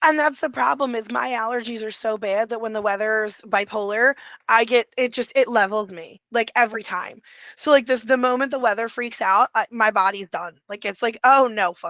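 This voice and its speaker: In a dry, close sound with no echo and a quiet background, a bright, sharp voice moves at a moderate pace with ordinary pitch variation and big swings in loudness. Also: woman, fairly high pitch for a woman. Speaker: podcast co-host. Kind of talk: casual chat.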